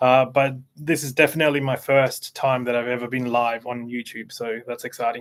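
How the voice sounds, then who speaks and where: Speaking fairly quickly with an Australian accent, a man keeps a medium pitch and a monotone, flat intonation. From Australia (Canberra), born in Chile. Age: 40s. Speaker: CEO of a digital marketing agency. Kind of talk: interview. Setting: YouTube live stream.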